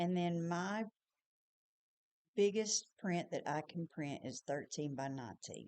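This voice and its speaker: A woman's fairly low voice with a Tennessee accent, fairly slow and marked by long, frequent pauses, with ordinary pitch variation. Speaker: small business owner and designer. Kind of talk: tutorial. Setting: screen recording. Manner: casual.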